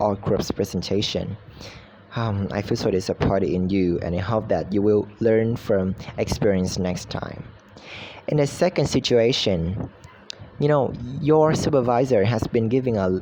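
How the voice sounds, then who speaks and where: In a Vietnamese accent, a man speaks at a medium pitch. His tone is dark and mellow. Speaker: university student. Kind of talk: recorded class assignment. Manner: halting, with fillers.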